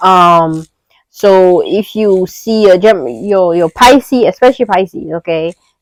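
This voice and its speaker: Dry and close with no echo, a woman's medium-pitched voice shows ordinary pitch variation. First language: not English. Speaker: astrology content creator. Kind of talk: casual astrology talk to camera. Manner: casual, filler-heavy with restarts.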